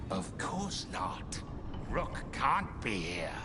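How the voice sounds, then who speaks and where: A man performs a put-on character voice over loud background noise. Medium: game stream. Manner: terse, clipped phrases.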